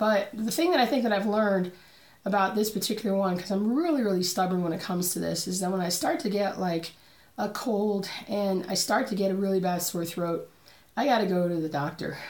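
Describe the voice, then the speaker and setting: At a fairly quick pace, a woman talks in a somewhat breathy, medium-pitched voice with ordinary pitch variation. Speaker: cross-stitch vlogger. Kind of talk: casual talk to camera. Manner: chatty, rambling.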